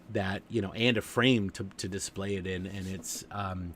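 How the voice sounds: This man's voice sits fairly low and sounds nasal. His tone is fairly bright.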